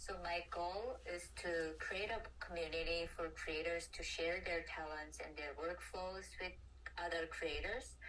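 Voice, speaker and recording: With a Korean accent, a woman speaks fairly slowly amid audible room echo and noticeable background noise. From South Korea. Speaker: design student interviewer. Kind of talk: interview. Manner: halting.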